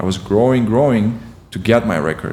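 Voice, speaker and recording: A man with a Russian accent, a moderate pace and ordinary pitch variation, over noticeable background noise. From Ukraine. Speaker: competitive swimmer. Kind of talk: podcast interview. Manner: halting, with frequent fillers.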